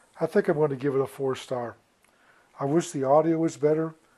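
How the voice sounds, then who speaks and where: A man's fairly high voice with a dark, mellow tone over a quiet background. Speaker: product reviewer. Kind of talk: product review.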